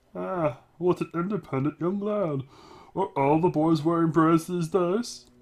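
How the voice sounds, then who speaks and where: A man's put-on character voice, shrill and high-pitched, at a moderate pace. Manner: quiet, wry.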